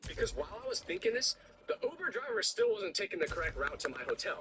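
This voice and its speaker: A man speaks at a very fast pace in a dry, close recording with no echo and noticeable background noise. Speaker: content creator. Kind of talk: storytelling. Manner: animated.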